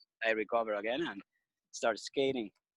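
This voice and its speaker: A man with a Venezuelan accent talks at a fairly quick pace, his intonation fairly even. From Venezuela (Margarita / Caracas). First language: Spanish. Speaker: skateboarder, surfer and business owner. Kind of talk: interview. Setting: video call. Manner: halting, hesitant with fillers.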